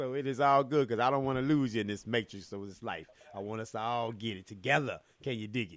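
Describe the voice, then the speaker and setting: A man with a medium-pitched voice talks very fast in an animated tone. His pitch varies in an ordinary way, and his loudness swings widely. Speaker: motivational speaker. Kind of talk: casual chat.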